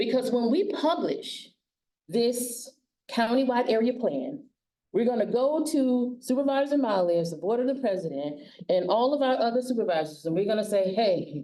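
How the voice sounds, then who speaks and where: Very wide pitch swings mark a woman's high voice, delivered in a Southern US accent with a dark, mellow tone. Her pace is moderate and her loudness very even. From US South. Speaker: county aging services director, forum facilitator. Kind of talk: public forum facilitation. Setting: public forum with audience.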